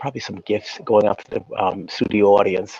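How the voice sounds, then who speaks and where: Soft-spoken and with an American accent, a man talks in a dry, close sound with no echo. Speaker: YouTube show host, celebrity's brother. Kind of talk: interview. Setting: video call from a library. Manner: halting, many fillers.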